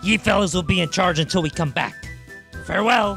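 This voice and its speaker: A put-on character voice with a middle pitch moves at a fairly quick pace. Clear music plays in the background. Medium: machinima. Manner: hearty, swashbuckling.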